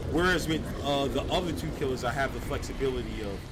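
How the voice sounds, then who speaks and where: The speech is loud and very fast. There's audible room echo and noticeable background noise. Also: man. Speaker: gaming streamer. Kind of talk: live gameplay commentary. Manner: loud, projecting. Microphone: mic picks up poorly on one side; viewers say B sounds bad.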